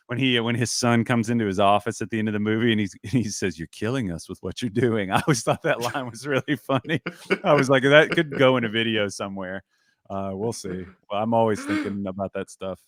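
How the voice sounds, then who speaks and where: Speaking fairly quickly in a Southern US accent, a man uses a medium pitch and ordinary pitch variation on a very clean recording with a silent background and a dry, close sound with no echo. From US South. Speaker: basketball analyst, podcast and video host. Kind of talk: casual chat.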